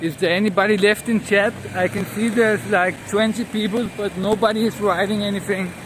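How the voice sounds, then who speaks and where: Against noticeable background noise, a man with a Danish accent talks at a fairly quick pace and high pitch, with monotone, flat intonation and hardly any pauses. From Denmark. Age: 30s. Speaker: live streamer. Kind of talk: live stream commentary. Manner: casual, swearing.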